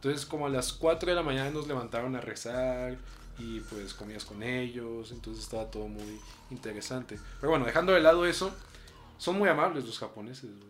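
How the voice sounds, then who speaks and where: Big swings in loudness mark this man's medium-pitched voice as he talks at a fairly quick pace amid audible room echo. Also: ordinary pitch variation. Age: young. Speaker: podcast co-host. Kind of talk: casual chat. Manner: soft-spoken.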